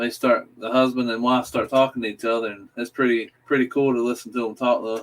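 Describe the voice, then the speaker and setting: In a Southern accent, a man speaks at a moderate pace with monotone, flat intonation. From US South, South Carolina. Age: 30s. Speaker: livestream panelist. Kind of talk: casual chat.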